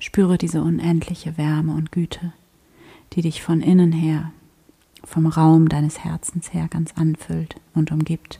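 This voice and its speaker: Soothing and gentle in tone, a woman speaks in a very deep, low, somewhat breathy voice with monotone, flat intonation and long, frequent pauses. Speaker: meditation guide and podcast host. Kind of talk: guided meditation, spoken prayer-like, addressing listener as 'du' with long calm pauses. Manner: slow, soft-spoken, soothing and gentle, with unhurried pacing; warm, devout, intimate tone.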